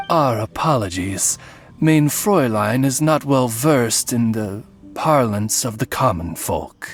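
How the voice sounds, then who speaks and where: A put-on character voice at a low-to-middle pitch moves at a fairly slow pace over clear background music. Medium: video game. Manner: formal, polite, measured.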